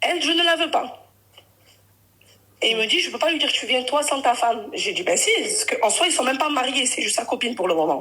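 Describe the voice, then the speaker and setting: A woman's high, raised, projected voice, with very wide pitch swings and long, frequent pauses. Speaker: caller on a live stream. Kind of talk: personal testimony on a live call. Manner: halting, with many self-corrections.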